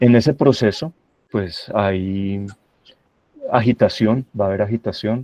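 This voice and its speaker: This is a man talking. His pitch sits fairly low. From Colombia, Santa Rosa de Cabal (Risaralda, paisa region). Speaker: university professor, guest speaker on AI. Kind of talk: lecture presentation. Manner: hesitant fillers, repeats words.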